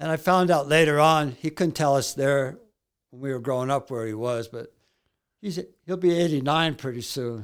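In a very clean recording with a silent background, a man speaks at a moderate pace and a fairly high pitch, with ordinary pitch variation. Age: 60s. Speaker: author and amateur baseball pitcher in recovery. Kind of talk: interview storytelling. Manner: nervous.

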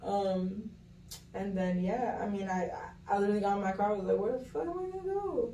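A woman with an American accent speaks at a fairly quick pace with ordinary pitch variation, over noticeable background noise. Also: medium pitch for a woman. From Miami, Florida (Kendall). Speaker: podcast guest. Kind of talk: casual chat.

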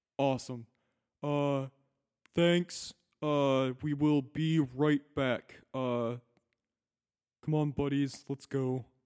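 In a put-on character voice, a man sounds gruff and fairly high-pitched, speaking in a flat monotone at a very slow pace with long, frequent pauses, the sound dry and close with no echo. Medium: actual play. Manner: casual, rambling.

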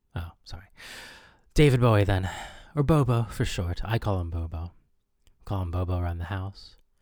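Somewhat breathy speech with ordinary pitch variation and long, frequent pauses comes through on a very clean recording with a silent background. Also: man, very deep, low pitch for a man, moderate pace. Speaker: comedy radio DJ. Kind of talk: comedic radio DJ patter, mock-breezy show-host spiel with scripted sketch gags. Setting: radio studio.

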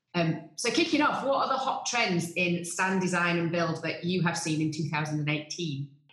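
With noticeable background noise, a woman speaks fairly slowly at a fairly low pitch, her loudness very even and hardly any pauses between words. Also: lively intonation. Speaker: podcast host. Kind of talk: scripted intro and interview.

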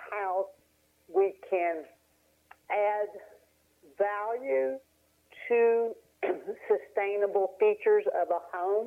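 Speaking with an Appalachian accent, a woman uses ordinary pitch variation. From Appalachian Tennessee. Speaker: real estate broker. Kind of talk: casual interview. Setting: phone call.

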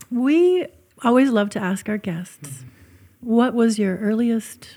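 With a dark, mellow tone and a somewhat breathy quality, a woman talks fairly slowly and varies her intonation in a lively way. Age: 50s. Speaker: podcast host. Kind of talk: scripted intro reading; casual interview chat.

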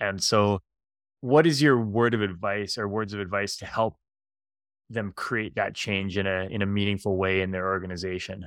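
On a very clean recording with a silent background, an ordinary speaking voice keeps a moderate pace and ordinary pitch variation. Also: man, fairly low pitch for a man. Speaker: podcast host. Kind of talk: podcast interview with scripted intro and outro.

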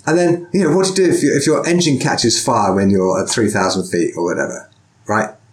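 Over noticeable background noise, a man talks at a fairly quick pace with a fairly high pitch, very wide pitch swings and very even loudness. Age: 40s. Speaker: podcast host and sword teacher. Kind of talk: casual interview.

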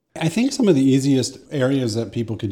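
This man's voice has a dark, mellow tone. He is the one speaking. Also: very clean recording, silent background. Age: 40s. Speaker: AI expert and strategic planner. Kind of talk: casual interview.

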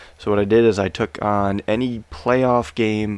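In a very clean recording with a silent background, a man has a plain, everyday voice, fairly low in pitch, at a fairly slow pace. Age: 30s. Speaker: sports betting podcast host. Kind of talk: casual chat.

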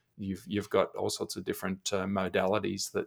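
Fairly quick talk with an Australian accent. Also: man. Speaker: e-learning executive and teacher. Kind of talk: casual podcast interview. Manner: friendly, jokey.

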